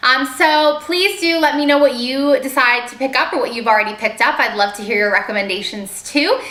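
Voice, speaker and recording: Over noticeable background noise, a woman uses a raised, projected voice at a high pitch. She speaks at a fairly quick pace with lively intonation and hardly any pauses. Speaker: beauty vlogger. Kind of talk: product haul video. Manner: fast; casual with filler ums.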